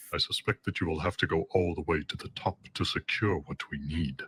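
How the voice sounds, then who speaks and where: A man's put-on character voice at a moderate pace, with ordinary pitch variation, on a very clean recording with a silent background and a dry, close sound with no echo. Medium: short film. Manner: cold, clipped, condescending.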